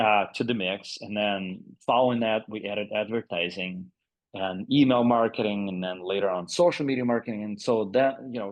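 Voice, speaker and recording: A man with a Russian accent speaks at a fairly low pitch and a moderate pace. His pitch variation is ordinary. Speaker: agency CEO. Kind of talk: podcast interview. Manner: halting, many fillers.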